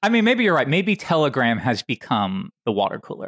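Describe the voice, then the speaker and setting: With an American accent and vocal fry, the speaker races along at a very fast pace with very wide pitch swings, the sound dry and close with no echo. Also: man. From Tennessee, US South. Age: 30s. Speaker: online programming educator. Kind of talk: casual chat.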